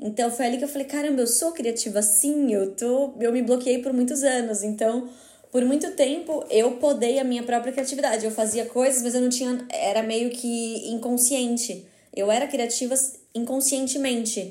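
Someone with a Brazilian accent speaks at a moderate pace with fairly even intonation, amid audible room echo. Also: woman, high pitch for a woman. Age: 20s. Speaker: photographer. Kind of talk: casual interview chat.

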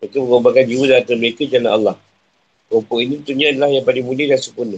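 At a very fast pace, a man speaks at medium pitch in a monotone, flat delivery. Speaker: Islamic religious teacher. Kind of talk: religious lecture (tafsir class). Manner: conversational, informal asides.

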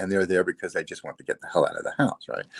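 Here a man is talking. His sound is dry and close, with no echo at all. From New Jersey. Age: 50s. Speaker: online business owner. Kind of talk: interview. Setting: live video stream.

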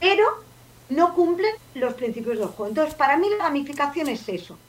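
High-pitched female speech marked by very wide pitch swings. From Barcelona, Catalonia. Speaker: podcaster and game-based learning advocate. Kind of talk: casual chat.

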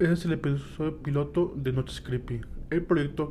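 This man's voice is fairly high and somewhat breathy. His tone is dark and mellow, with fairly even intonation. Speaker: podcast host and storyteller. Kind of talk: dramatic narration of a horror story, first-person creepypasta read aloud. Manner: tense, suspenseful, ominous storyteller.

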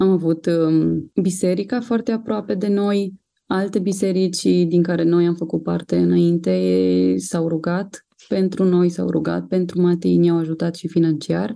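Here a woman has an unremarkable speaking voice with fairly low pitch. She speaks at a fairly slow pace, with ordinary pitch variation. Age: 30s. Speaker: mother of a child with cancer. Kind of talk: testimony.

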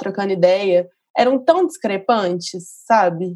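An unremarkable speaking voice of a woman, medium in pitch, fairly slow, with lively intonation. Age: 30s. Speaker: journalist. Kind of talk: casual chat.

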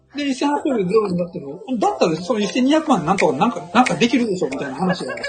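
Noticeable background noise sits behind a man with a high pitch. He speaks at a very fast pace with very wide pitch swings. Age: 50s. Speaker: author and investor. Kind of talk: casual chat.

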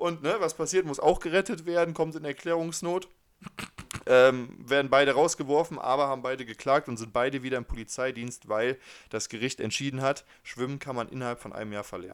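In a normal speaking voice, a fairly high-pitched man talks at a fairly quick pace with ordinary pitch variation and big swings in loudness. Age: 20s. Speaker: podcast co-host. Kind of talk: casual chat.

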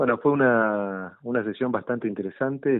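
A man with a normal speaking voice talks at a fairly quick pace, his intonation fairly even. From Argentina. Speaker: city legislator. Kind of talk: interview. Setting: phone call.

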